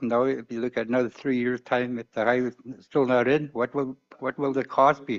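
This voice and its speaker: Moving at a fairly quick pace, this is an ordinary speaking voice. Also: man. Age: 60s. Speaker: community leader. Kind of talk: public testimony at community hearing.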